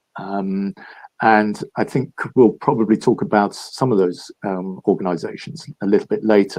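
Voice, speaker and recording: In a London accent, a man speaks at a moderate pace. His pitch is fairly low, with ordinary pitch variation. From London, England. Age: 70s. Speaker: philanthropist and entrepreneur. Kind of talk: interview. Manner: halting, many fillers.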